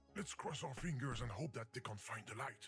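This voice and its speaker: A put-on character voice at a fairly quick pace. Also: man, medium pitch for a man. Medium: video game. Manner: fussy, exasperated.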